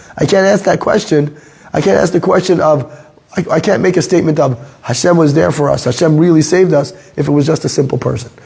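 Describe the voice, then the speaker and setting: Over noticeable background noise and audible room echo, a man talks at a very fast pace in a fairly high pitch, with ordinary pitch variation and very even loudness. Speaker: Torah teacher. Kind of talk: lecture. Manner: halting.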